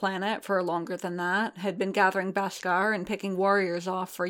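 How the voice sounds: The clip features a natural reading voice.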